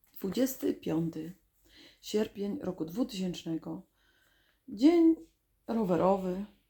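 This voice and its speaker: Speaking at a very slow pace, a woman uses a medium-pitched, somewhat breathy voice. Her pitch swings very widely, and she takes long, frequent pauses. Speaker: video diarist. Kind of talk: reading aloud.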